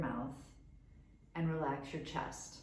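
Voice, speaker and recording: With an American accent, a woman speaks in a calm, gentle tone at a fairly low pitch over noticeable background noise. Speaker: yoga teacher. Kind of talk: guided meditation and yoga instruction. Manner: calm, gentle, instructive.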